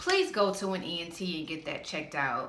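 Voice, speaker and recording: Audible room echo surrounds a woman speaking at a fairly slow pace and a fairly low pitch. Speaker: vlogger. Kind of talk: casual vlog rant. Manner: animated.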